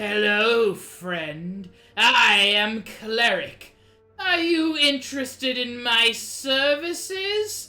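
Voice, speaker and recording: A woman's put-on character voice, high in pitch with very wide pitch swings at a very slow pace, over faint music in the background. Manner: loud, cheerful, shouting.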